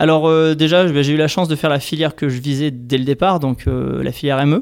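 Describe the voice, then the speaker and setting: At a moderate pace, the speaker has a plain, everyday voice. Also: man. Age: 30s. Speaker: engineer working for an environmental nonprofit. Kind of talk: interview.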